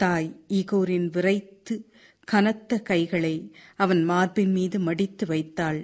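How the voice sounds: The clip features a natural reading voice.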